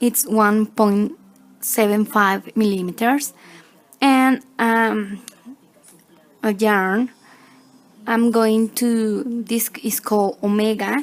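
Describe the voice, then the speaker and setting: A woman with a non-native accent speaks at a very slow pace, leaving long, frequent pauses. Her fairly high pitch stays fairly even in intonation, with very even loudness. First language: Spanish. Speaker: crochet tutorial maker. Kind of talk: tutorial. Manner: halting, many fillers.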